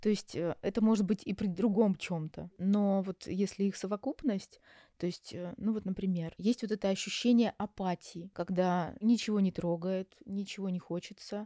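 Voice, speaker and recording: Against a silent background on a very clean recording, a woman speaks in a dark, mellow tone with fairly even intonation and a dry, close sound with no echo. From Russia, Yaroslavl. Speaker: psychologist. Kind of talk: interview. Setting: Istanbul recording.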